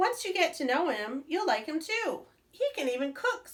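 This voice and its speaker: A woman puts on a squeaky character voice at an extremely high pitch. It swings very widely in pitch at a moderate pace. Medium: read story.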